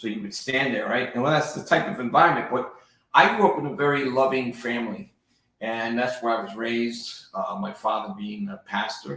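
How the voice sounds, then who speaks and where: With a New Jersey accent, a man speaks at a fairly quick pace with lively intonation and big swings in loudness. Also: medium pitch for a man. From New Jersey and Puerto Rico. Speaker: real estate agent, former federal agent. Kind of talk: interview, life story. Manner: casual, with hesitations.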